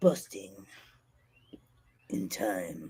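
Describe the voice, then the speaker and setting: A raspy, low-pitched, put-on character voice with a dramatic tone. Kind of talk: movie trailer narration. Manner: deep dramatic announcer.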